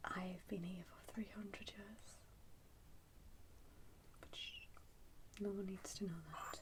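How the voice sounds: Her pitch sits at a medium level for a woman, and her pace is slow. Her intonation stays fairly even.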